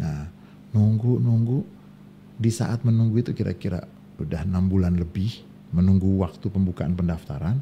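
A man's very deep, low voice, dark and mellow and somewhat breathy, with ordinary pitch variation over light background noise. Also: moderate pace. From Indonesia. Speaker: Islamic scholar; podcast guest. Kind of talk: casual chat. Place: studio. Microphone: studio mic.

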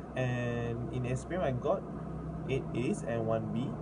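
Loud background noise surrounds a man while he talks. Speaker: university student tutor. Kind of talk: self-introduction. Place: home room. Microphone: phone near.

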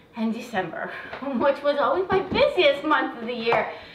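A woman at a moderate pace, with light background noise and audible room echo. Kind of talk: tutorial. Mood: warm, chatty. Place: kitchen. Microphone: camera far.

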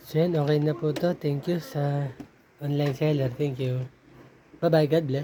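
A man's fairly high voice, monotone and flat, at a fairly slow pace with long, frequent pauses. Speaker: vlogger. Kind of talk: unboxing video. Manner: casual, conversational.

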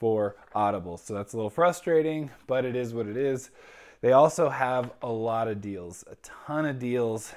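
With ordinary pitch variation, a man speaks at a moderate pace over a quiet background. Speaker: book reviewer vlogger. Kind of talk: casual review commentary. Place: home room. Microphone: lapel.

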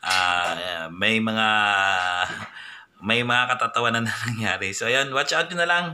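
A man talks at a fairly slow pace with very wide pitch swings. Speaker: vlogger. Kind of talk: casual vlog chat. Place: home room. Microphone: phone near.

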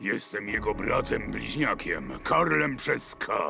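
A man uses a raspy, put-on character voice at a fairly slow pace. Background noise is clearly audible. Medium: fan dub. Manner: sly, creepily polite.

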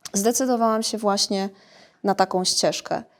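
With fairly even intonation and a moderate pace, a woman talks in an ordinary speaking voice. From Poland, Iława (Warmia-Masuria). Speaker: sports psychologist. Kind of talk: interview. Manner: repeats words while thinking.

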